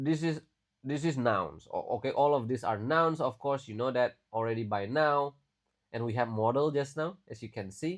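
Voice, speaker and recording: On a very clean recording with a silent background, a man with a medium pitch talks at a moderate pace with lively intonation. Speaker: English teacher. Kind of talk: tutorial. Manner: casual, with many fillers.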